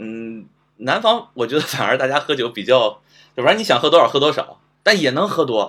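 This man's voice sits fairly high and swings very widely in pitch. He talks at a fairly quick pace. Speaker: guest. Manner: halting, repeats words.

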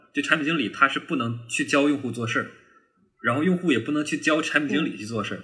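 A man talks fairly quickly in a bright, sharp tone. His pitch varies in an ordinary way. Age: 20s. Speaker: product manager. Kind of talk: casual chat.

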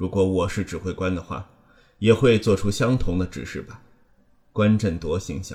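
Solemn in tone, a man speaks very deep and low, dark, mellow and somewhat breathy, with ordinary pitch variation, big swings in loudness and long, frequent pauses. The recording is very clean, its background silent. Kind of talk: literary audiobook reading, third-person crime fiction narration. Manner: measured, even and solemn, with a grave, suspenseful tone; steady narrator's pace, unhurried, with little emotional colouring.

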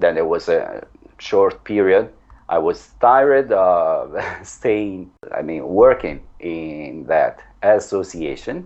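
Speaking at a very slow pace, a man talks with an Italian accent. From Italy. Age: 40s. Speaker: language teacher. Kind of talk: interview.

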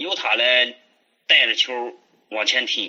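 Here a man speaks with a Hebei accent. His pitch is fairly high. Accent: Hebei rural dialect-tinged Mandarin. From Hebei, China. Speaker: childhood friend, business owner. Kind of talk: casual storytelling chat.

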